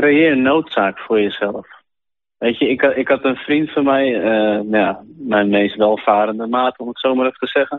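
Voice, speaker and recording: Ordinary pitch variation marks this man's medium-pitched speech. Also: moderate pace. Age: 30s. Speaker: sailmaker, business owner. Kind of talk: interview testimony. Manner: halting.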